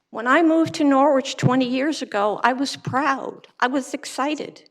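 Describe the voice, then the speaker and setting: Her voice is high for a woman, with ordinary pitch variation and a moderate pace. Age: 80s+. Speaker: public commenter, retiree. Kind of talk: public comment speech. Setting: city council chamber.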